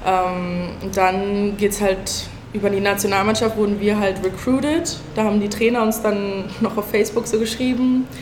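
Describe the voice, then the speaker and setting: A woman speaks at a moderate pace and a medium pitch, with fairly even intonation, very even loudness and hardly any pauses. Noticeable background noise and audible room echo are present. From Berlin. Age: 20s. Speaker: college basketball player. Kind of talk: panel talk before live audience. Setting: event venue with audience.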